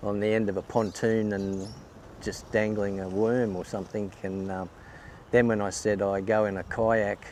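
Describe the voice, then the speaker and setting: A man's fairly low voice, flat and monotone, at a moderate pace. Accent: Australian. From Queensland, Australia. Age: 60s. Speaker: kayak angler. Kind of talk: interview. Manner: hesitant, many fillers.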